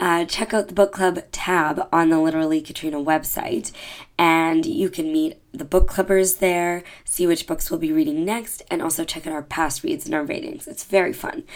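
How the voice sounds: The speech moves at a moderate pace. Its intonation stays fairly even. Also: woman, low pitch for a woman.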